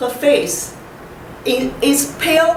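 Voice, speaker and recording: A woman speaks at a high pitch with a strong Chinese accent. Noticeable background noise and audible room echo surround her. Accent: heavy Chinese. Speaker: poet. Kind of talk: poetry reading. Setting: library reading event with audience. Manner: halting, repeats words.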